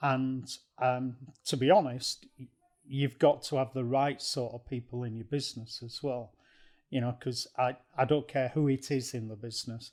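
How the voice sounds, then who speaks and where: A man with an ordinary speaking voice talks at a moderate pace in a medium pitch, his intonation fairly even. His loudness swings widely, on a very clean recording with a silent background. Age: 60s. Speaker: non-executive director. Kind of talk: casual chat.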